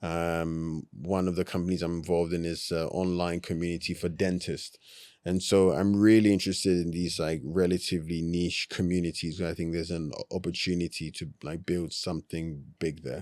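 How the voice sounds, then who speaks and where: This man speaks in a London accent with a very deep, low pitch and a flat monotone, hardly pausing. The recording is very clean with a silent background. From South London. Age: 30s. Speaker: entrepreneur. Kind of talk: podcast interview. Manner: casual, filler-heavy.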